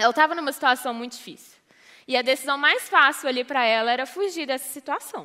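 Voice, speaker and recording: Using a raised, projected voice, a woman talks very fast at a high pitch, her tone bright and sharp, her pitch varying in an ordinary way and her loudness swinging widely. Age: 20s. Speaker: youth ministry leader. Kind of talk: sermon.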